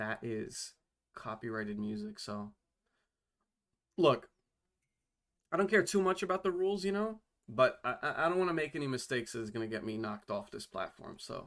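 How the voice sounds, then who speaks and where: A man speaks at a fairly quick clip, his pitch swinging very widely, with long pauses coming often. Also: fairly high pitch for a man. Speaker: game developer streamer. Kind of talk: casual live stream chat. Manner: casual, filler-heavy, repetitive stammering.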